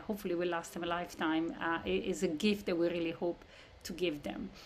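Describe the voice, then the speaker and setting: A woman speaks at a moderate pace while light background noise carries on underneath. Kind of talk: presentation to prospective parents. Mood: warm, slightly emotional. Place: home room.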